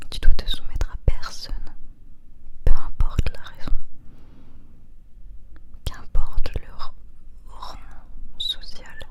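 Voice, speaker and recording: A woman's soothing whisper at a very slow pace, with long, frequent pauses, big swings in loudness and noticeable background noise. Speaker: ASMR creator. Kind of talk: ASMR roleplay comfort talk to help sleep. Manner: whispered, soothing.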